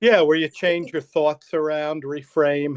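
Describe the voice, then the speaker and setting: It is an unremarkable speaking voice: a man, fairly high-pitched, fairly slow, and fairly even in intonation, recorded dry and close with no echo against a quiet background. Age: 60s. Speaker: counselor and life coach. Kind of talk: interview.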